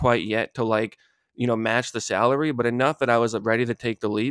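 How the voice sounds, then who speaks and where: Here a man with an American accent speaks fairly quickly at a medium pitch. The sound is dry and close with no echo, on a very clean recording with a silent background. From Boston. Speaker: freelance SEO consultant. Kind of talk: casual chat.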